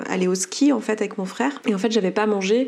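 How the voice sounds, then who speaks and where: Her intonation stays fairly even. There is noticeable background noise in the recording. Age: 30s. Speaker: coach and entrepreneur. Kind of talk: testimony. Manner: halting.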